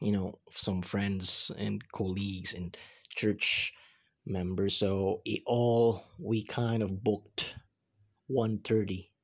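On a very clean recording with a silent background, a man speaks at a very slow pace with long, frequent pauses. His fairly low voice keeps a fairly even intonation. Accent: Filipino. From Philippines. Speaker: podcaster. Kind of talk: casual monologue. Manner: lots of filler words.

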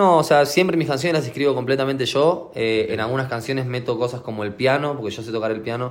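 A man at medium pitch with a Rioplatense accent talks very fast with hardly any pauses and ordinary pitch variation, amid noticeable background noise and audible room echo. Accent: Argentine Spanish (rioplatense). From Argentina. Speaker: trap and reggaeton artist. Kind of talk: interview.

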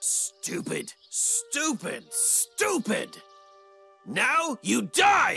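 A man speaks at an extremely high pitch, very slowly, with very wide pitch swings. Faint music plays in the background. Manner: menacing, arrogant.

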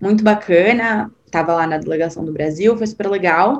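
A woman with a plain, everyday voice, ordinary pitch variation and a moderate pace. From Brazil, São Paulo. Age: 20s. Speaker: podcast guest sharing personal story. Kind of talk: casual interview.

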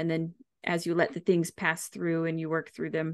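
A woman's fairly low voice with vocal fry at a moderate pace, against a quiet background. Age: 30s. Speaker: podcast host and health coach. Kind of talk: casual chat. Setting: home studio.

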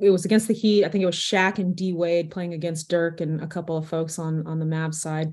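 A woman's plain, everyday voice, fairly low in pitch with fairly even intonation, fairly quick with hardly any pauses, on a very clean recording with a silent background. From Texas, Arlington. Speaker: sports business executive. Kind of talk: interview.

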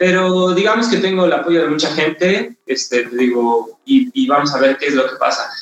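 A man's speech shows ordinary pitch variation as it proceeds at a moderate pace. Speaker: ultramarathon runner. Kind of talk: casual interview.

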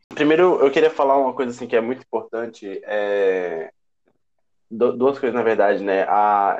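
Speaking in a plain, everyday voice, a man keeps a moderate pace and a medium pitch with ordinary pitch variation. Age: 20s. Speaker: student council president. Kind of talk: casual chat.

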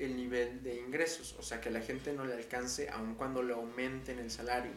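In a central Mexican accent, a man speaks amid noticeable background noise and audible room echo. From Mexico, Puebla. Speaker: podcast host. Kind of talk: casual solo monologue. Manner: hesitant, many fillers.

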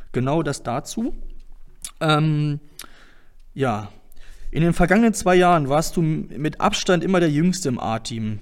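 This is a man speaking. His pitch sits fairly high. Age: 20s. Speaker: darts club podcast host. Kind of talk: casual interview podcast. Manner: hesitant, many fillers.

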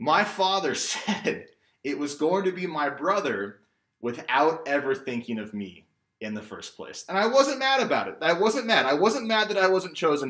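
An American accent at a moderate pace, in a bright, sharp tone. The pitch swings very widely and the loudness rises and falls sharply. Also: man, high pitch for a man. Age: 30s. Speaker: storyteller. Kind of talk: personal storytelling.

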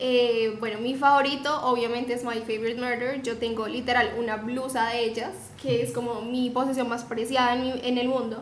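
Against noticeable background noise and audible room echo, a woman with a high pitch speaks at a moderate pace in a monotone, flat intonation with hardly any pauses. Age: young. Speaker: podcast co-host, psychology student. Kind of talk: casual chat.

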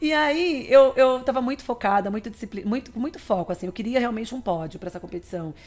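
Speaking at a very fast pace with hardly any pauses, a woman uses a high pitch and lively intonation. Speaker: nutritionist and athlete. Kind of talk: interview conversation.

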